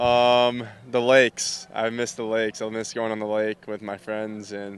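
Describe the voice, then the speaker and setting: With a Minnesotan accent, a man speaks at a fairly slow pace in monotone, flat intonation. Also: medium pitch for a man. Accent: Minnesota. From Minnesota, US. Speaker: baseball player. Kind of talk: interview.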